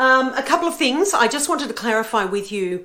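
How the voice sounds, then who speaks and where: Someone with an Australian accent speaks at a moderate pace with lively intonation in a room with audible echo. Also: woman. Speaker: book and travel vlogger. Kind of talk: casual vlog talk. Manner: hesitant with fillers.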